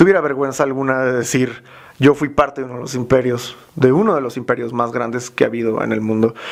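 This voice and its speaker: A man talking at a very fast pace, with fairly even intonation. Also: medium pitch for a man. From Mexico. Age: young. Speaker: youtuber, cultural commentator. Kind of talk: interview. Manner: hesitant fillers.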